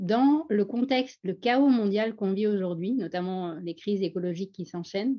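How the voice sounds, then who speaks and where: Speaking with hardly any pauses, a woman with a strong Parisian accent uses a medium pitch and ordinary pitch variation. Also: moderate pace. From France, Paris suburbs, teen years in Pondicherry. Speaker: former doctor, speaker on Franco-Indian identity. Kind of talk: personal testimony at a panel. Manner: animated.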